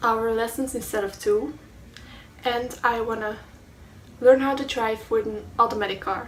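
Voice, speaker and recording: In a Belgian accent, a woman speaks at a fairly slow pace and a fairly high pitch, her intonation fairly even, with audible room echo. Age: 20s. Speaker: chronic illness vlogger. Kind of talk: storytime vlog.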